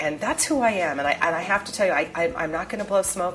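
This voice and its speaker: Someone talks at a very fast pace in a slight New York accent. Music plays in the background. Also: woman. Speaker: real estate investor and educator. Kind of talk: seminar presentation. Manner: direct, emphatic.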